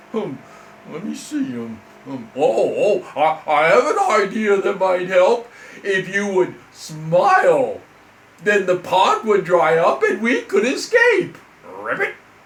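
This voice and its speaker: In a put-on character voice, a man talks fairly slowly at a high pitch. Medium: read story.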